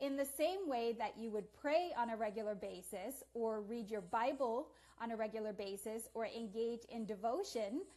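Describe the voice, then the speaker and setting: Her voice is fairly high-pitched with a dark, mellow tone. The woman talks at a moderate pace with hardly any pauses. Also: ordinary pitch variation. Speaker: forgiveness therapist and motivational speaker. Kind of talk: self-introduction video monologue. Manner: speaks quietly; many pauses.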